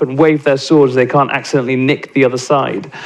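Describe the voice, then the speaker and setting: A man with a British accent talks over noticeable background noise. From England. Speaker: nonprofit CEO and panelist. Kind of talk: panel talk. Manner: halting, many fillers and restarts.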